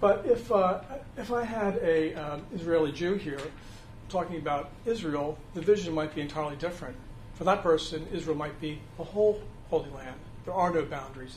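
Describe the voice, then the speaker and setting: The speech moves at a fairly quick pace with ordinary pitch variation and big swings in loudness, over noticeable background noise and audible room echo. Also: man. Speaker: church adult education teacher. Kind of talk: lecture. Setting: classroom without a mic. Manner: halting, many fillers; speaking loud. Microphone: no microphone, speaking unamplified.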